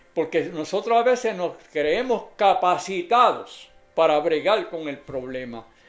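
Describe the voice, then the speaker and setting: With lively intonation, a man speaks at a fairly slow pace in a high pitch. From Puerto Rico (Adjuntas). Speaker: lay preacher. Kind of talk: sermon.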